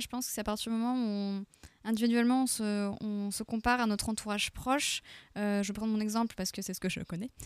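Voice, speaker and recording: The pace is fairly quick. It is an ordinary speaking voice. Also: woman. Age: 30s. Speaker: queer association volunteer. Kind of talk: radio panel discussion.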